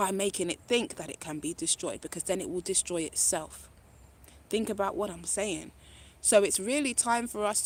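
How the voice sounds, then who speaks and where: A woman speaks in an animated tone at a medium pitch with ordinary pitch variation and big swings in loudness, on a very clean recording with a silent background. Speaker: spiritual speaker. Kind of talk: live-stream spiritual talk. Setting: live stream. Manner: fast.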